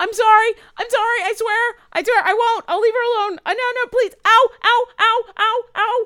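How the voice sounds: Someone uses a put-on character voice with extremely high pitch, speaking at a fairly slow pace.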